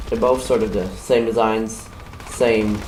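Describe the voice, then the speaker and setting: A man with a German accent and fairly low pitch is heard with audible room echo and noticeable background noise. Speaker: gaming YouTuber. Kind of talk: video game weapon review. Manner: halting.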